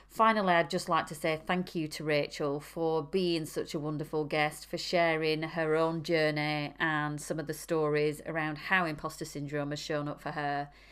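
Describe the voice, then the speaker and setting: In a very clean recording with a silent background, a woman with a northern English accent speaks at a moderate pace in a very deep, low pitch. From northern England. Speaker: podcast host. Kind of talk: interview conversation.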